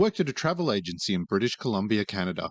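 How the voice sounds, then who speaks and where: Very wide pitch swings mark this voice with an Australian accent, recorded dry and close with no echo against a quiet background. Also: man. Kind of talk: reddit story reading.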